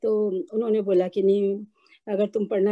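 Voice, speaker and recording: Dark and mellow in tone, the voice has a dry, close sound with no echo. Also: woman. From India, Rajasthan. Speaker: retired Hindi professor. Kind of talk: interview, personal stories. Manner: hesitant, with fillers.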